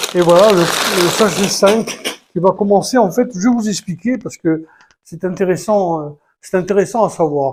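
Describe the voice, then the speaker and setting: High-pitched male speech at moderate speed, ordinary in its pitch variation. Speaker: YouTuber building a Lego set. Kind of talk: casual tutorial-style building video. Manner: halting, many hesitations.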